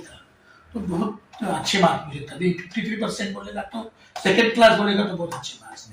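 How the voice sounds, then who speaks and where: Audible room echo surrounds the speech. A man talks at a moderate pace. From Maharashtra. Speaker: folk singer. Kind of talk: interview. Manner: halting.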